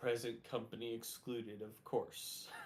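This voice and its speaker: A man does a put-on character voice at a medium pitch. It sounds raspy and gruff. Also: moderate pace. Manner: dismissive, wry.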